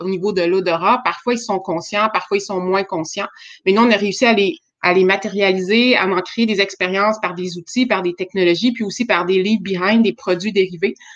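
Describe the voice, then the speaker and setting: In a Quebec accent, a woman speaks at a medium pitch and a moderate pace with ordinary pitch variation against a quiet background. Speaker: startup founder. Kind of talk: webinar presentation.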